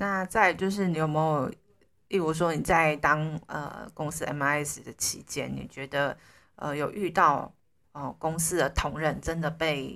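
At a fairly slow pace, a woman with a very deep, low pitch speaks with fairly even intonation. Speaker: podcast host. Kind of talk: casual interview.

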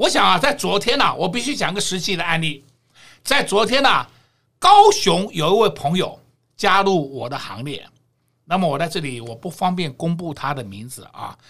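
An animated, bright and sharp voice at a moderate pace, with very wide pitch swings and big swings in loudness. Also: man, high pitch for a man. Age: 60s. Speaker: stock market analyst. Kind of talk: market commentary chat.

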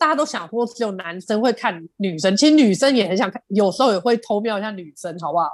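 Very fast, animated delivery with lively intonation and hardly any pauses, on a very clean recording with a silent background. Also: woman, medium pitch for a woman. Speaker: podcast co-host, cafe owner. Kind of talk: casual chat.

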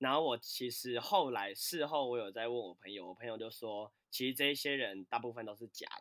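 A man with a plain, everyday voice speaks at a fairly quick pace and medium pitch, with hardly any pauses. His loudness swings widely, his pitch varies in an ordinary way, and the sound is dry and close with no echo. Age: 20s. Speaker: fitness and dance instructor. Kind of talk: casual chat.

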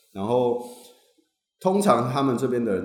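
A man at a moderate pace, ordinary pitch variation, audible room echo. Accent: Taiwanese. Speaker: graduate student. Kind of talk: casual chat.

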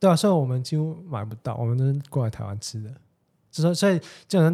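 His pitch varies in an ordinary way. The man's voice is dark and mellow in tone, and somewhat breathy. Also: very clean recording, silent background. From Hong Kong. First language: Cantonese (speaking Chinese). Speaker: podcast guest. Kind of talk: casual chat.

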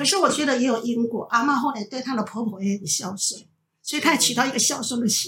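A woman's high-pitched voice at a very fast pace. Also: ordinary pitch variation. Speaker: retired teacher. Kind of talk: casual family conversation.

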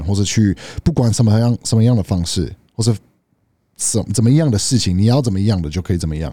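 On a very clean recording with a silent background, a man with a fairly low pitch speaks very fast in a dark, mellow, somewhat breathy tone with ordinary pitch variation. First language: English (speaking Chinese). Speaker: podcast co-host. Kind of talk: casual chat. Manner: halting.

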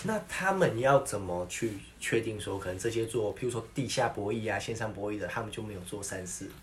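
Against noticeable background noise, a man talks at a fairly quick pace with hardly any pauses. His medium pitch shows ordinary variation. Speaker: podcast co-host. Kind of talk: casual chat.

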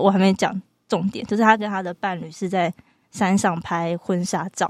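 A woman speaks at medium pitch and a moderate pace, a plain, everyday voice. The sound is dry and close with no echo. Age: 20s. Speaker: psychology graduate student. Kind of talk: casual chat.

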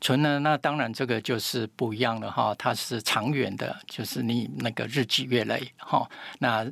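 A man talks at a medium pitch and a moderate pace, with vocal fry and ordinary pitch variation. The recording is very clean, with a silent background. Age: 70s. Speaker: health expert, pharmacy doctor. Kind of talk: interview.

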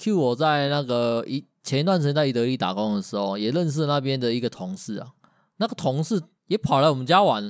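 The speaker has a Taiwanese accent and lively intonation at a fairly quick pace. The recording is very clean, with a silent background. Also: man, medium pitch for a man. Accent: Taiwanese Mandarin. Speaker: podcast co-host. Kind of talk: casual chat.

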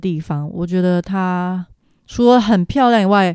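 An ordinary speaking voice: a woman at medium pitch, ordinary pitch variation, moderate pace, very clean recording and silent background. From Taiwan. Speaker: travel planner. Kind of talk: casual interview about travel.

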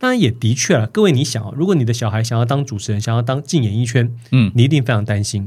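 A man's somewhat breathy voice at medium pitch, ordinary pitch variation and a very fast pace. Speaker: author, motivational speaker, former mayoral candidate. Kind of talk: casual interview chat. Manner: animated, storytelling.

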